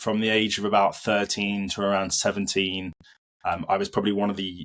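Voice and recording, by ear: A man with a fairly low voice speaks in a fairly bright tone, his pitch barely moving.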